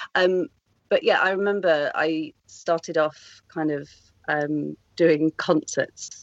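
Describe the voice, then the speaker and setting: A woman's very deep, low voice with a British accent and monotone, flat intonation. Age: 30s. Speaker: actor and first-time novelist. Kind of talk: casual interview chat.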